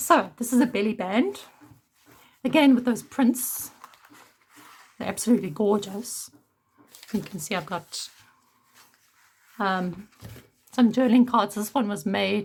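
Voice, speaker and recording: With long, frequent pauses, a woman speaks at a fairly slow pace in a somewhat breathy, fairly high voice with ordinary pitch variation. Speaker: junk journal maker. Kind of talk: casual talk to camera.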